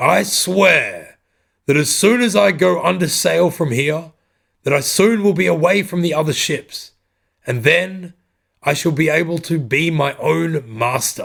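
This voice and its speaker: Gravelly and raspy, a man puts on a character voice at a high pitch. He speaks at a fairly slow pace. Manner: ranting, raised voice.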